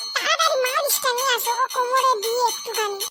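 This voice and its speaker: A squeaky, cartoonish character voice goes along at a moderate pace while faint music plays in the background. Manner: whiny, melodramatic.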